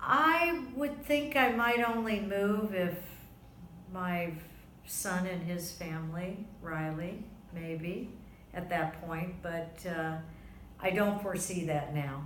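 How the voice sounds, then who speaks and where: In audible room echo, a woman with an American accent speaks very slowly with lively intonation and long, frequent pauses. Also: medium pitch for a woman. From US South, Florida (West Palm Beach). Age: 60s. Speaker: interviewee, grandmother. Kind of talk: oral history interview.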